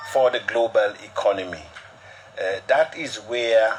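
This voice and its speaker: Over noticeable background noise, a man with an Antiguan accent speaks at a medium pitch with ordinary pitch variation. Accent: Antiguan, non-Liberian. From Antigua and Barbuda. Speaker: cryptocurrency promoter. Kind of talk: broadcast interview.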